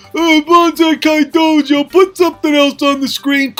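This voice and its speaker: A put-on character voice, high and whiny in tone, moves at a moderate pace. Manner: whiny, complaining.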